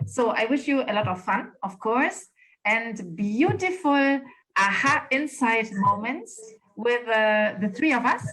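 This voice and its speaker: A woman with a German accent, her fairly high voice bright and sharp in tone, with lively intonation and a fairly slow pace. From northern Germany. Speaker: spiritual coach. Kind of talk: casual chat.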